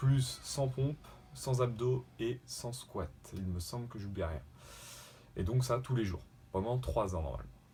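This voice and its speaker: A man's somewhat breathy, dark and mellow voice, fairly low in pitch with very wide pitch swings, relaxed in tone, fairly slow and broken by long, frequent pauses. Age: 20s. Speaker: YouTuber doing a fitness challenge. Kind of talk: casual vlog introduction. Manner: hesitant, many fillers.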